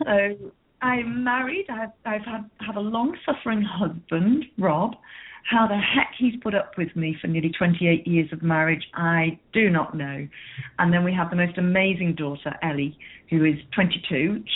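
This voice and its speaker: Speaking with an English accent, a woman uses lively intonation at a medium pitch and moderate pace. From northern England, Merseyside coast near Liverpool. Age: 50s. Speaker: business coach. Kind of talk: interview.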